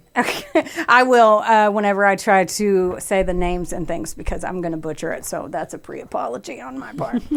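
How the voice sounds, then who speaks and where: Someone with a Kentucky accent talks at a fairly quick pace with lively intonation and hardly any pauses. Loudness swings widely, over noticeable background noise. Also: woman, medium pitch for a woman. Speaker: podcast host. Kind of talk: casual chat.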